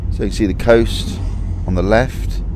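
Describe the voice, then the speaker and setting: With a dry sound and no echo but noticeable background noise, a man speaks at a moderate pace in a very deep, low pitch with very wide pitch swings. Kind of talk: casual vlog chat. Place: car. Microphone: phone near.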